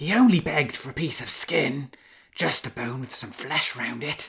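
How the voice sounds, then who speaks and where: A raspy, put-on character voice from a man. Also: medium pitch for a man, moderate pace. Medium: read story. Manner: warm, indulgent.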